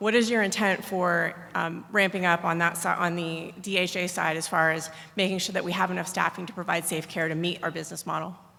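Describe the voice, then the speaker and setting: A woman's fairly low, bright, sharp voice, monotone and flat, with audible room echo. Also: fairly quick pace, hardly any pauses. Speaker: military medical officer, audience questioner. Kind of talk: audience question at conference. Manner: fast.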